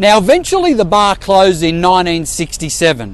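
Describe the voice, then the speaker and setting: A man with an Australian accent at a high pitch, fairly slow in pace, over light background noise. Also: dry sound with no echo. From Sydney, Australia. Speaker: real estate agent; presenter. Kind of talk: local history presentation to camera. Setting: outdoors. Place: street. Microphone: phone near.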